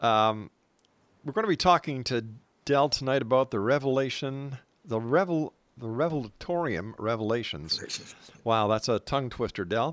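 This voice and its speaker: A man with a plain, everyday voice and a Canadian accent speaks at a moderate pace in a medium pitch with lively intonation. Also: very clean recording, silent background. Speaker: radio host. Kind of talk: radio interview. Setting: radio studio.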